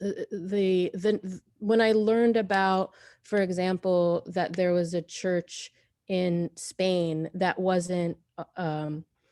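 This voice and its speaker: A woman speaks very slowly in a dark, mellow tone. Her intonation is monotone and flat, with a dry, close sound and no echo. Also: medium pitch for a woman, very clean recording, silent background. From US, born in Syria. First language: Arabic. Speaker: artist. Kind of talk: Q&A artist talk. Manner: halting, many false starts.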